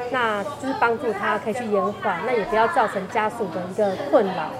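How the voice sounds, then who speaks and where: A woman's fairly high voice at a fairly quick pace, with audible room echo and crowd noise in the background. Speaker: senior project manager at a hospital. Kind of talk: interview. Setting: convenience store.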